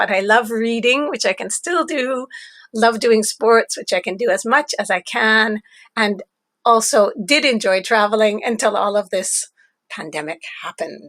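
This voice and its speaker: A speaker with a Canadian accent and a plain, everyday voice talks at a moderate pace with ordinary pitch variation, in a dry, close sound with no echo. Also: woman, fairly high pitch for a woman. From Canada. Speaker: teacher trainer. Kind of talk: pre-recorded webinar lecture. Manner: friendly, clear teacherly delivery.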